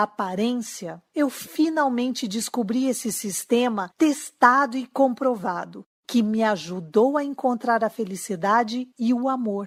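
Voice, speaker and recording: Speaking at a fairly slow pace with lively intonation, a woman talks in a Brazilian accent. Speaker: relationship coach. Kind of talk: sales pitch.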